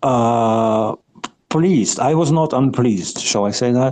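The speaker is a man with a non-native accent. He talks at a moderate pace. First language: not English. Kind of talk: casual chat. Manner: halting, searching for words.

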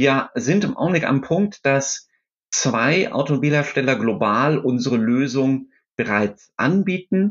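The man's voice has a fairly high pitch. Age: 50s. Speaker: startup founder and CEO. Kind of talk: interview. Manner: hesitant, many filler sounds.

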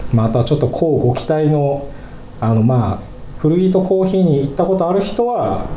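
A man with a Fukushima accent speaks at a moderate pace, his pitch fairly high and swinging very widely. Audible room echo and noticeable background noise surround him. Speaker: singer-songwriter hosting a radio podcast. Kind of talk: casual chat.

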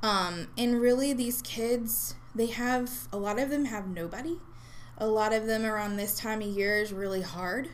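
At a moderate pace, a woman with a normal speaking voice talks at a fairly high pitch with ordinary pitch variation. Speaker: regional supervisor at a youth mental health nonprofit. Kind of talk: casual interview.

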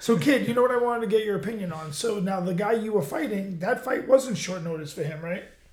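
A high-pitched man speaks at a very fast pace with hardly any pauses and lively intonation. Audible room echo and noticeable background noise are present. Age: 40s. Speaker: podcast host, fighter. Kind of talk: casual chat. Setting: studio.

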